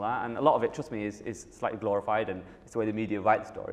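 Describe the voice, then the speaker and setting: A man with a Manchester accent talks at a very fast pace. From northern England, Manchester. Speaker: app company founder and CEO. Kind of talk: Q&A session.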